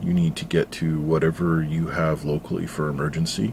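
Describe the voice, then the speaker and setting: A soft-spoken man with a very deep, low voice. He talks at a moderate pace with fairly even intonation. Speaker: YouTuber, former sonar operator. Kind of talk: personal vlog about health. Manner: hesitant, many fillers.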